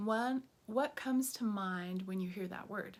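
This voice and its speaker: A woman with a General American accent sounds upbeat and somewhat breathy, talking at a fairly slow pace. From US, southern Colorado. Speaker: teacher. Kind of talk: course introduction video.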